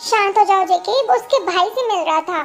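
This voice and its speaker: A woman puts on a squeaky character voice at a fairly quick pace. Background noise is clearly heard. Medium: read story.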